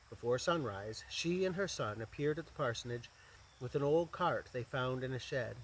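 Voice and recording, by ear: Someone reads text aloud. Their voice comes across as natural.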